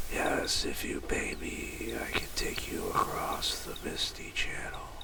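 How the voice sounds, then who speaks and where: A man whispers in a creaky, put-on character voice at a fairly slow pace against loud background noise. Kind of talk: gothic fantasy roleplay. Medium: game stream. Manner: solemn, archaic speech.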